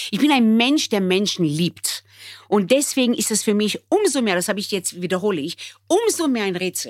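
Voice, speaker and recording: On a very clean recording with total background silence, a woman speaks at a medium pitch with very wide swings up and down. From Israel, raised in Bremen from age nine. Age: 60s. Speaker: restaurateur. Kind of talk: emotional conversation.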